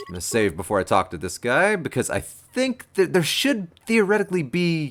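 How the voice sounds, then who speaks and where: A man talks at a moderate pace with hardly any pauses. His loudness swings widely, and there is noticeable background noise. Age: 30s. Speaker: gaming streamer. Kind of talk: live game commentary with chat. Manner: casual, hesitant with fillers.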